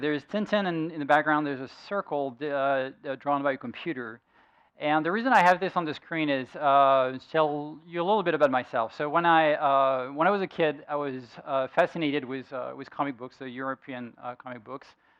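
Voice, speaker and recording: A man with a French accent speaks at a moderate pace and a fairly high pitch. His pitch variation is ordinary, and his loudness swings widely. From France. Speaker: software engineer and conference speaker. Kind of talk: tech talk presentation. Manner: halting, many fillers.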